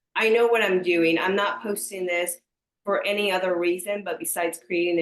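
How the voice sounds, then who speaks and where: Speaking in a Spanish accent, a woman talks at a fairly quick pace and medium pitch with ordinary pitch variation. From US, small conservative country town, Mexican mother. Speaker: entrepreneur, social media creator. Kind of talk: podcast interview. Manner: animated.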